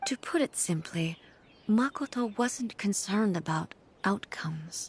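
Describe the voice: Slow and slightly husky, this put-on character voice has lively intonation. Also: woman, medium pitch for a woman.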